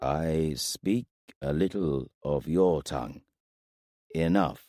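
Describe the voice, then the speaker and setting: A put-on character voice from a man, gravelly and very deep, at a very slow pace. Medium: read story. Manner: terse, halting speech in a foreign tongue.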